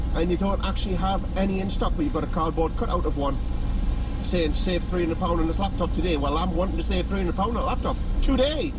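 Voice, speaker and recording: A man talks fairly quickly while loud background noise surrounds him. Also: dry sound with no echo. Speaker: vlogger. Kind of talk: casual vlog chat, retelling a story. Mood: exasperated, sarcastic. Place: car. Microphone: phone near.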